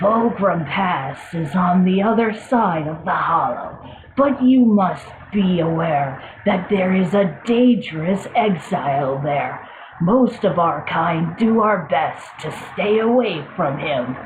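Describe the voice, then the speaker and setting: A female-sounding voice puts on a character voice at a medium pitch and a fairly slow pace. Background noise is clearly audible. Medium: audio drama. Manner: dry, courteous.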